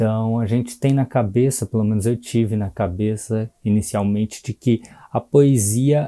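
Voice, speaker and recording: At a fairly slow pace, a dark, mellow voice keeps fairly even intonation, the sound dry and close with no echo on a very clean recording with a silent background. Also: man. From Brazil, São Paulo (Cidade Tiradentes). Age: 20s. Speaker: poet. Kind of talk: workshop presentation. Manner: casual.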